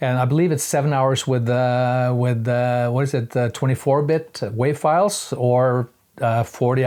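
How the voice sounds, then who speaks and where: A man with a Norwegian accent, medium pitch, fairly even intonation, very even loudness and a moderate pace. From Norway. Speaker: hobby musician reviewing gear. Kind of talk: casual product review. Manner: halting, many fillers.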